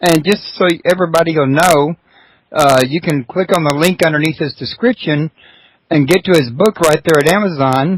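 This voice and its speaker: Speaking in a Texas accent, a man with a high pitch keeps very even loudness and ordinary pitch variation in a dry, close sound with no echo. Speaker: radio host. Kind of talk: interview. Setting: internet radio show.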